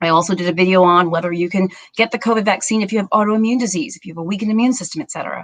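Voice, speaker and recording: A woman with a fairly low pitch and ordinary pitch variation is heard in a dry, close sound with no echo. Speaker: family doctor. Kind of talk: live stream health update. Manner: fast.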